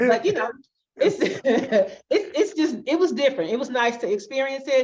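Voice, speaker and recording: With an Alabama accent, a woman talks at a moderate pace in a high pitch. Her pitch swings very widely. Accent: Southern US (Alabama). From US South, Alabama. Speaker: fractional COO, digital nomad. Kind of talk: casual interview.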